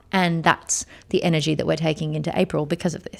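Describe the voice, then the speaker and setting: With an Australian accent and an animated tone, a woman speaks at a fairly quick pace and a fairly low pitch, with vocal fry. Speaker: podcast host and motion director. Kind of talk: casual solo podcast monologue. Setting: studio. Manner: fast.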